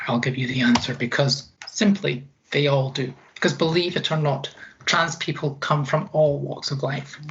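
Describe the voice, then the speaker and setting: Over noticeable background noise, the speaker talks with a Dorset accent and ordinary pitch variation. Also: woman, very deep, low pitch for a woman, moderate pace. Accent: Dorset-tinged English. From Scotland. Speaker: equality and inclusion advisor. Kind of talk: presentation.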